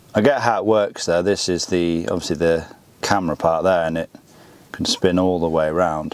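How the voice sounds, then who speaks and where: A man at a moderate pace, very deep and low in pitch, with fairly even intonation and noticeable background noise. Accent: British. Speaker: car YouTuber. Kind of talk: product review.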